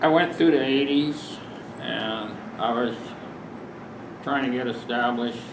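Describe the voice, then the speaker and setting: Fairly slow speech with a Midwestern US accent, fairly even intonation, and long, frequent pauses, plus audible room echo and noticeable background noise. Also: man, medium pitch for a man. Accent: US Midwest. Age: 60s. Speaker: farmer and farm advocate. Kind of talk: public talk. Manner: casual, halting with fillers.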